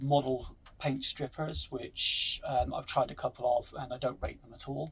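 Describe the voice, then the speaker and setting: A man with a strong West Country accent at a fairly slow pace. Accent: strong West Country-sounding English. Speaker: scale model hobbyist. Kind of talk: tutorial. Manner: hesitant, many fillers.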